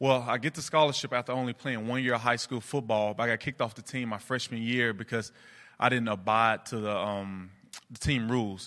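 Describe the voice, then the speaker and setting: A man's bright, sharp voice at a fairly quick pace with fairly even intonation, on a very clean recording with a silent background. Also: medium pitch for a man. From US South, Memphis, Tennessee. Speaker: campus ministry worker. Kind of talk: testimony; interview.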